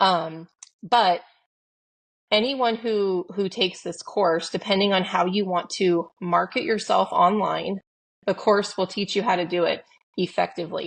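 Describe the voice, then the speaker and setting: A woman talks in a plain, everyday voice at a medium pitch, with ordinary pitch variation, a moderate pace and a quiet background. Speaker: podcast co-host. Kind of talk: casual chat. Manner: casual, filler-heavy.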